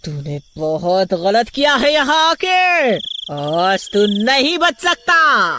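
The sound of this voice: A woman uses a cartoonish character voice with a fairly high pitch, big pitch swings and a bright, sharp tone. She talks at a slow pace while faint music plays in the background.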